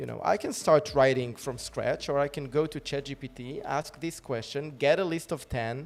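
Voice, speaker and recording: A man with a non-native accent speaks at a moderate pace and a fairly high pitch. His pitch variation is ordinary, but his loudness swings widely. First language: not English. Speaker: live stream host. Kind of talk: casual chat.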